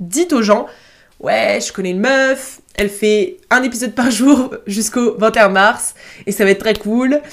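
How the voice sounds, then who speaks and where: Ordinary pitch variation from a woman with a fairly high voice. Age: 20s. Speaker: student podcaster. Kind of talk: casual monologue. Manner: hesitant.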